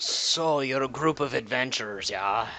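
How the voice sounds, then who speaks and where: A man puts on a raspy character voice at a medium pitch. He speaks at a moderate pace with ordinary pitch variation. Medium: actual play. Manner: brisk, dry, businesslike.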